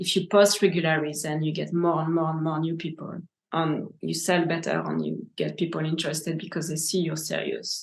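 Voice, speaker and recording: Her voice sits fairly low, with vocal fry and a monotone, flat delivery. The woman speaks at a fairly quick pace over a quiet background. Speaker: gem cutter. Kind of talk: interview answers.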